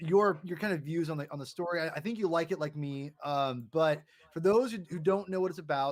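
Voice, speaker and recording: A loud man's voice, high for a man, at a fairly quick pace with ordinary pitch variation. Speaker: comic book podcast host. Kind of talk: casual chat. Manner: halting.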